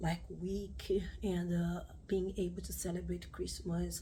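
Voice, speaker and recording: A woman with a Brazilian accent speaks through noticeable background noise and audible room echo. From Brazil, Rio de Janeiro. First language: Portuguese. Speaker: craft YouTuber. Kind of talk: personal vlog update. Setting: home video recording with ring light. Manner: halting, many fillers.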